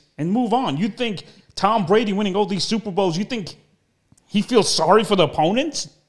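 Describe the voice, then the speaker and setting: Over a quiet background, a man in a New York accent talks at a fairly quick pace. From US Northeast, Brooklyn New York. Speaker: internet show host, actor and impressionist. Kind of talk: casual interview chat. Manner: animated. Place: home room. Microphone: studio mic.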